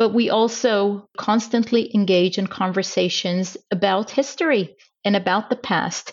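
At a fairly slow pace, a woman with an Israeli accent speaks at a medium pitch with ordinary pitch variation and very even loudness. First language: Hebrew. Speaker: diplomat. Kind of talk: interview.

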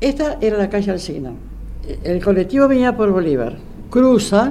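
Her pitch sits in the medium range for a woman. This woman's voice makes very wide pitch swings. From Argentina, Buenos Aires. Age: 80s+. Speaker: retired secretary, eyewitness. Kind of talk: personal testimony interview.

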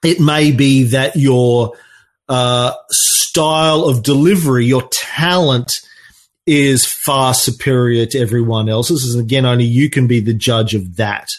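This man talks at a fairly slow pace with an Australian accent, his pitch medium with ordinary variation. His loudness stays very even throughout. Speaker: podcaster and marketing agency owner. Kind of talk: online talk with live Q&A.

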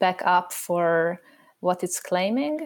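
A woman speaks at a fairly slow pace in a very clean recording with a silent background. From Hungary. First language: Hungarian. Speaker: educational consultant and parent. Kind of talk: panel discussion.

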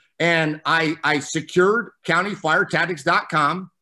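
A high-pitched man with an American accent and a bright, sharp tone, on a very clean recording with a silent background. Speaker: fire service training officer. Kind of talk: casual interview.

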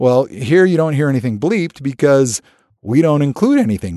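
Man with an American accent and an unremarkable speaking voice, fairly high pitch, lively intonation, dry, close sound with no echo, quiet background. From US (California, Alaska, Connecticut). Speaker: TV producer and host. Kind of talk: interview.

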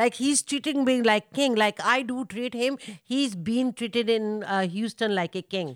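A woman with a South Asian accent and a fairly high pitch speaks at a fairly slow pace with hardly any pauses and ordinary pitch variation, the sound dry and close with no echo. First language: Hindi-Urdu. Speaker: mother of the guest. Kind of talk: casual chat. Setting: family home. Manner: loud.

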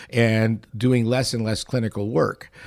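Pitched at a medium level, the man's voice has a dark, mellow tone. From Montreal, Canada. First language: not English (learned English around age six). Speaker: industrial psychologist and business consultant. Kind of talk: casual interview chat.

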